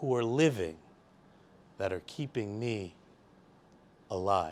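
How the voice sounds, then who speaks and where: A man with a New York accent speaks loud in a very clean recording with a silent background. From Staten Island, New York. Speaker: poet. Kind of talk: poetry reading.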